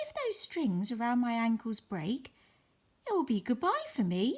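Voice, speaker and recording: In a put-on character voice, a female-sounding speaker talks at a moderate pace with a high pitch. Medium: read story.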